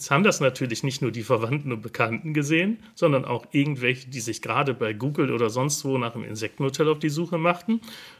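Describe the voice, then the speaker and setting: Speaking at a very fast pace with hardly any pauses, a man uses a medium pitch, a somewhat breathy voice and ordinary pitch variation. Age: 50s. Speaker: hobby gardener and gardening video creator. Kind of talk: casual interview. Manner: hesitant, with many filler sounds.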